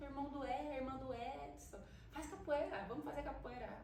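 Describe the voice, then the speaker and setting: A woman speaks at a fairly quick pace. The recording carries audible room echo and noticeable background noise. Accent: Paulista. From Brazil, São Paulo city. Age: 30s. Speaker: capoeira teacher. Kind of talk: interview. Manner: casual.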